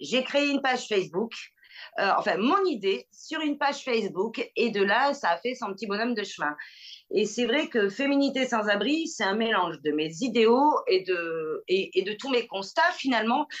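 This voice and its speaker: This woman speaks at a moderate pace, her fairly high voice swinging very widely in pitch. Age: 40s. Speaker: association founder. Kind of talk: interview. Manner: halting.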